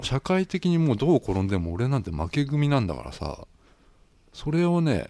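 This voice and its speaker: A man with a dark, mellow tone, fairly high pitch, very wide pitch swings and a moderate pace. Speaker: podcast host. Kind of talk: casual chat.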